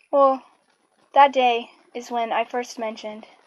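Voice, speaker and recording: At a fairly slow pace, a woman speaks with a fairly high pitch and monotone, flat intonation. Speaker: anti-self-harm campaign founder. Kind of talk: personal story told to camera. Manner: stuttering, hesitant.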